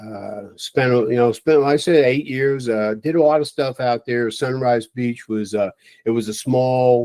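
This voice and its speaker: In a dry, close sound with no echo, a man with an American accent and an unremarkable speaking voice talks at a fairly slow pace with fairly even intonation. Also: medium pitch for a man. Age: 60s. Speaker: retired fire chief. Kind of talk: interview.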